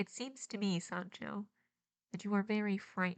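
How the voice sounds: Put on as a character voice, this nasal delivery moves at a moderate pace with fairly even intonation. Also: woman.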